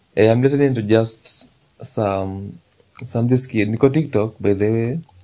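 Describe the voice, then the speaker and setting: A man's voice at a medium pitch. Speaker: podcast host. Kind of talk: casual monologue. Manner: animated.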